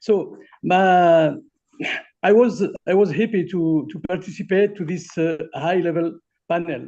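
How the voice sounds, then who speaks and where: With a French accent, a man speaks slowly, his high voice dark and mellow in tone. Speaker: academic collaborator. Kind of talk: testimony. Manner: halting.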